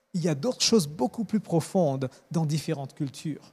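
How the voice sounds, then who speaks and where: A man's fairly quick, lively-intoned voice on a very clean recording with a silent background. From Mauritius, raised in Madagascar and East/West Africa. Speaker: church media engineer. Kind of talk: interview. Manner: halting.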